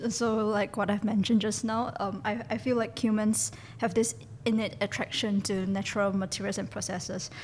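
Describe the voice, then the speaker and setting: Vocal fry from a woman of medium pitch, with fairly even intonation and a moderate pace. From Singapore. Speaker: designer. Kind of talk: interview. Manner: hesitant.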